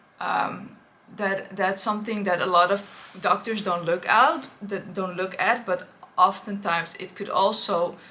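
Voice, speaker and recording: Noticeable noise sits behind a woman speaking at a fairly slow pace in a Dutch accent. Her medium-pitched voice keeps a fairly even intonation. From Netherlands. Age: 30s. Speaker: influencer. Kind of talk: personal testimony vlog. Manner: hesitant, many fillers.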